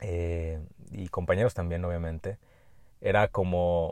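In a quiet background, a man speaks at a fairly slow pace with a dark, mellow tone. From Mexico, Jalisco. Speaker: medical doctor and podcast host. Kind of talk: solo podcast monologue. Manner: hesitant with frequent fillers and repetitions.

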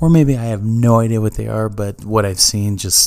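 A man's fairly low voice carries a dark, mellow tone and ordinary pitch variation. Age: 30s. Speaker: gaming podcast host. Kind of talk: solo podcast monologue.

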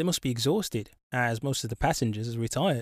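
A man with an English accent talks at a moderate pace with ordinary pitch variation, on a very clean recording with a silent background. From England, Birmingham. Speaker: travel podcaster. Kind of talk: scripted narration.

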